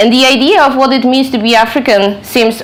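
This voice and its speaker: Over noticeable background noise, a woman with a Polish accent talks at a fairly quick pace. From Poland. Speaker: author and researcher. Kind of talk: lecture. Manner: halting.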